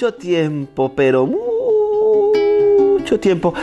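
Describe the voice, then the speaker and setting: Music plays in the background as a man speaks. The sound is dry and close, with no echo. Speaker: storyteller. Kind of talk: oral storytelling performance.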